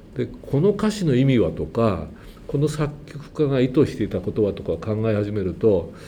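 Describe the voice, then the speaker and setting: The speaker is a man with a medium pitch. His pitch swings very widely. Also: moderate pace. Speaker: church choir conductor. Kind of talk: testimony. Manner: casual.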